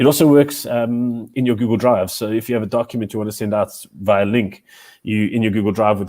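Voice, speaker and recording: A man talks at a very fast pace. His tone is dark and mellow, and the sound is dry and close with no echo. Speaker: educator presenting a teacher webinar. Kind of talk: live webinar tutorial. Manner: talkative, many fillers and repetitions.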